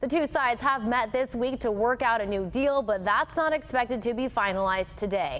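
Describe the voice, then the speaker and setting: With music in the background, a woman with an American accent speaks at a fairly quick pace with hardly any pauses, in a fairly high pitch with ordinary pitch variation. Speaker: TV news anchor and reporter. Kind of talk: TV news anchor and field reporter delivery.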